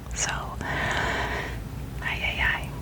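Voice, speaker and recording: Someone is whispering over noticeable background noise. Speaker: ASMR content creator. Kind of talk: soft whispered ramble about personal life, ASMR. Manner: whispered, soft-spoken, casual.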